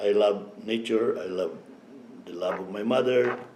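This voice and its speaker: Audible room echo surrounds this recording. A man speaks at a fairly slow pace. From Philippines. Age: 70s. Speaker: elder interviewee. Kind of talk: life story interview.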